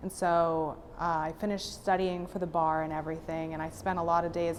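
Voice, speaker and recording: This woman's voice sits fairly low and stays monotone and flat. She talks at a moderate pace, with audible room echo. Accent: General American. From Florida, Fort Lauderdale. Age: 20s. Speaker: patient. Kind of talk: testimony.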